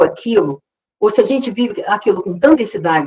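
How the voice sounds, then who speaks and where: The woman's voice is high in pitch. She talks at a moderate pace. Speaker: psychologist, seminar speaker. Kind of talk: lecture. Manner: halting, many repetitions.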